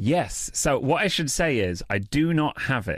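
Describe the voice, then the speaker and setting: A man with a British accent speaks at a moderate pace, his pitch swinging very widely. The recording is very clean with a silent background and a dry, close sound with no echo. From England. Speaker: comedian and freestyle rapper. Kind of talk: casual interview chat.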